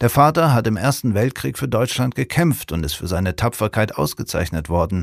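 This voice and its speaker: A calm, warm tone with vocal fry at a moderate pace, on a very clean recording with a silent background. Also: man, fairly low pitch for a man. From Kiel, northern Germany. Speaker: musician and reader. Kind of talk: literary audiobook reading of a portrait. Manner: calm, measured, warm storytelling pace with a sober, empathetic tone.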